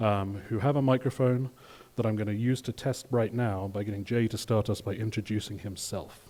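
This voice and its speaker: A man speaks at a medium pitch with a British accent. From UK. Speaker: patient association board member, session moderator. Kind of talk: conference session introduction.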